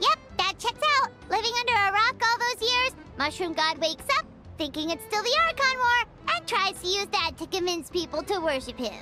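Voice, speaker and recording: Against loud music in the background, a put-on character voice with an extremely high pitch and an energetic tone moves at a moderate pace. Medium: video game. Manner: brash, energetic.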